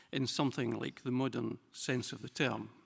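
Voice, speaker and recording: A man's vocal fry at a fairly quick pace, on a very clean recording with a silent background. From Scotland. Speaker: typography specialist and museum director. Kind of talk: lecture. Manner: formal.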